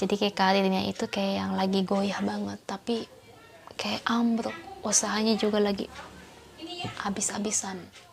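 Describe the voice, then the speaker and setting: Soft-spoken, a woman talks at a moderate pace with long, frequent pauses over noticeable background noise. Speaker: tarot reader. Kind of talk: tarot reading for viewers.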